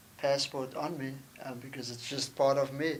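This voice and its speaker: A man talks at a fairly slow pace with a South African accent. His pitch sits fairly high, and his intonation stays fairly even. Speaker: sports ministry director. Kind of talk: podcast interview.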